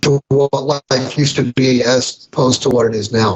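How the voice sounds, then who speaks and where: Somewhat breathy, a man speaks at a fairly slow pace and a fairly high pitch. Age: 60s. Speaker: financial commentator. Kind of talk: interview. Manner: halting.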